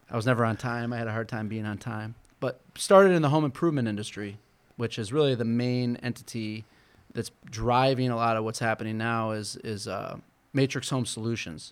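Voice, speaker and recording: Speaking at a fairly quick pace, a man uses a plain, everyday voice at a medium pitch. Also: ordinary pitch variation. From Michigan, Flint. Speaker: business owner and political activist. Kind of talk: interview.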